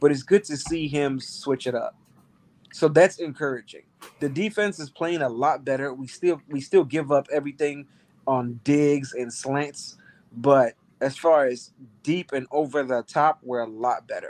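An ordinary speaking voice from a man, fairly high-pitched with ordinary pitch variation, moderate in pace, in a dry, close sound with no echo. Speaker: football analyst. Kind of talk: casual sports discussion.

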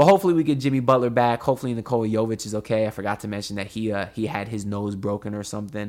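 A man's animated, fairly low voice at a very fast pace, with ordinary pitch variation, in a very clean recording over a silent background. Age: 20s. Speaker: sports podcast host. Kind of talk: casual sports commentary monologue.

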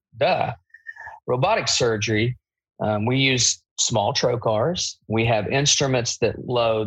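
In an Appalachian accent, a man talks at a fairly slow pace and medium pitch. His pitch variation is ordinary, and the background is quiet. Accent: Appalachian US Southern. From Eastern Kentucky. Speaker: bariatric surgeon. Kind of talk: casual interview.

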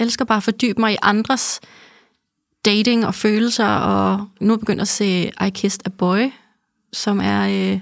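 A woman talks fairly slowly. The background is silent and the recording very clean. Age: 30s. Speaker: podcast host. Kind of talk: casual chat. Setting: studio.

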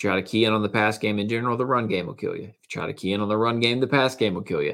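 Speaking at a very fast pace, a man with a medium pitch sounds animated. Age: 20s. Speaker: sports podcast host. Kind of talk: solo sports commentary podcast.

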